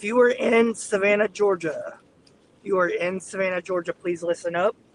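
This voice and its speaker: With a Southern US accent, a man speaks at a moderate pace and a high pitch with fairly even intonation, in a dry, close sound with no echo and noticeable background noise. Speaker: storm chaser live streamer. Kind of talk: live stream commentary while driving. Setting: in a car.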